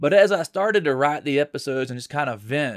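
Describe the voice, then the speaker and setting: This is a normal speaking voice from a man with an American accent, pitched fairly high. His intonation is lively, and the recording is very clean with a silent background. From Florida, Tallahassee. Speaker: podcast host. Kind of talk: solo opinion monologue. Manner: casual, conversational.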